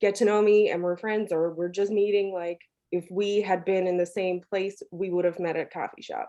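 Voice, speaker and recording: With a dark, mellow tone, a woman speaks at a medium pitch in a monotone, flat intonation. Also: moderate pace. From Newfoundland, Canada. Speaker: content strategist. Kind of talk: podcast interview.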